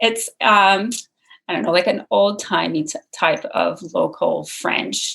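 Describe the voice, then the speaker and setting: Speaking at a fairly slow pace, a woman talks in a Montreal accent. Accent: Canadian English, Montreal. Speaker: spiritual coach. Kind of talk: casual chat.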